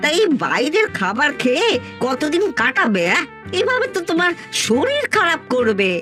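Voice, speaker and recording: A cartoonish character voice moves at a fairly slow pace over clear music in the background. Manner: chatty, concerned.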